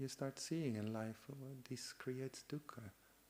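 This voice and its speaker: A man with a Dutch accent, medium pitch and a dark, mellow tone, at a moderate pace with fairly even intonation. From Netherlands. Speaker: Buddhist monk. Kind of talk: dharma talk. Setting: meditation retreat. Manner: halting.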